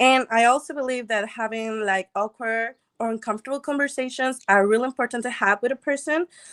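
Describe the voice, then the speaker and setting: A woman with a non-native accent speaks at a fairly high pitch with ordinary pitch variation, in a very clean recording with a silent background and a dry, close sound with no echo. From Mexico. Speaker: dating show contestant. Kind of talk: casual interview.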